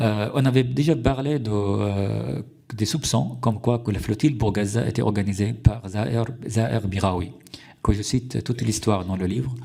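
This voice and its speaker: With vocal fry and a dark, mellow tone, a man speaks at a fairly low pitch and a moderate pace, his intonation lively. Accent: Arabic. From Syria. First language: Arabic (speaking French). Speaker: journalist. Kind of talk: testimony before a parliamentary committee. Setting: parliamentary hearing room. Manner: halting, many hesitations and restarts.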